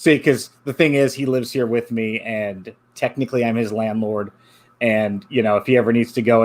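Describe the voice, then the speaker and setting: A man talks in a medium pitch. He has an unremarkable speaking voice. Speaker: podcast host. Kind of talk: casual chat.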